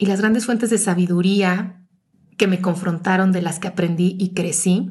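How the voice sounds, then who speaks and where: A woman speaks fairly slowly in a medium pitch, her voice somewhat breathy. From Mexico City. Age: 40s. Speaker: podcast host. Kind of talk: personal reflective monologue.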